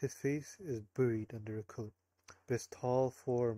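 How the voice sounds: A natural reading voice set against a quiet background.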